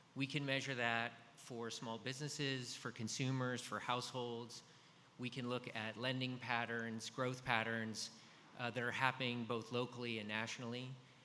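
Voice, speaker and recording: With audible room echo, a man talks at a moderate pace in a medium pitch, his bright, sharp tone delivered with monotone, flat intonation. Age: 50s. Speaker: business executive, data analytics. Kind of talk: conference presentation. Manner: frequent fillers (um, uh).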